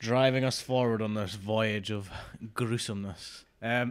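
In a quiet background, a man talks at a fairly slow pace. His intonation stays fairly even. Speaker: podcast co-host. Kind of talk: podcast discussion. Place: home room. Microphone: studio mic.

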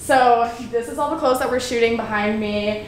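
Light background noise and audible room echo are present in the recording. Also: woman. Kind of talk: casual vlog chat. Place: home room. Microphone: camera far.

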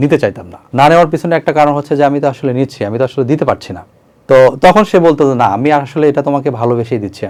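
Over a quiet background, a man with a fairly high pitch talks in a plain, everyday voice with lively intonation. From Bangladesh, Bogura. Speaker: interviewee telling his love story. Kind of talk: personal testimony interview.

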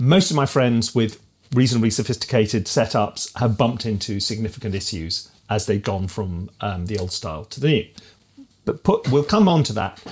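A man speaks with lively intonation. His voice is somewhat breathy. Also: moderate pace. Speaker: music educator. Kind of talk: casual tech review talk. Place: home room.

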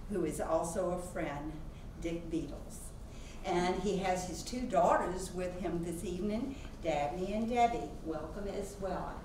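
With audible room echo and noticeable background noise, a woman speaks fairly slowly with ordinary pitch variation. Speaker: museum president introducing a speaker. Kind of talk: formal introduction speech. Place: classroom.

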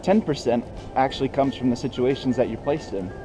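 Music plays in the background as a man speaks. His intonation is fairly even. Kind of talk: explanatory vlog commentary. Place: street. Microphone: phone near.

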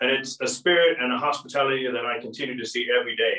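Recorded with audible room echo over a quiet background, a man in an American accent talks at a fairly quick pace. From United States. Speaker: diplomat. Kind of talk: formal welcome speech. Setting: online video event. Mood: solemn, respectful. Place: home room. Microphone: camera far.

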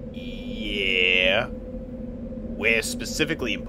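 A gruff, put-on character voice is raised and projected at a very slow pace. Loud background noise fills the recording. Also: man. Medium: audio drama. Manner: gruff, irritable.

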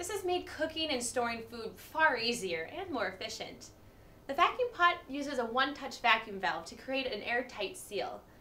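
A woman speaks at a moderate pace in a high pitch, with very wide pitch swings and big swings in loudness. Noticeable background noise is present. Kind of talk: TV commercial read.

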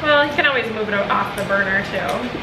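At a fairly quick pace, a woman speaks at medium pitch, with clear background noise and audible room echo. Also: ordinary pitch variation.

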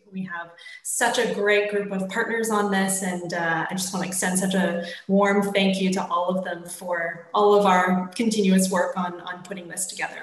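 Room echo is audible around a woman's voice. She speaks at a moderate pace with flat, monotone intonation. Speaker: event host. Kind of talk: formal welcome address. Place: home room. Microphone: video call.

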